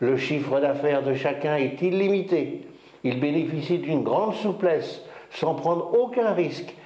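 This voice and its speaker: At a very slow pace, a man speaks in a fairly high pitch, with audible room echo and noticeable background noise. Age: 60s. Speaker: company founder. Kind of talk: business presentation. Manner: formal.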